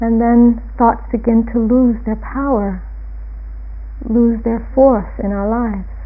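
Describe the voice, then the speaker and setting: Noticeable background noise accompanies a woman who talks at a very slow pace. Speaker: meditation teacher. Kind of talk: guided meditation. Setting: retreat. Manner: slow, gentle and soothing, with calm, unhurried pacing and soft pauses; quiet, measured and instructive.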